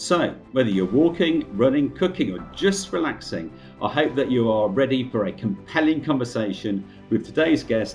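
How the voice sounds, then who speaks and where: With music playing behind him, a man talks at a medium pitch, his voice making very wide pitch swings. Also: moderate pace. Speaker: podcast host. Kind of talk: podcast introduction.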